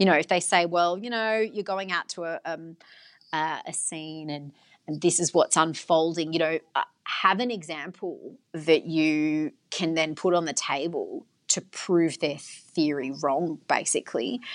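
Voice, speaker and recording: With an Australian accent, a woman talks at a fairly slow pace and fairly low pitch, with ordinary pitch variation. The background is quiet. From Australia, western Sydney. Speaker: radio journalist and broadcaster. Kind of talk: interview.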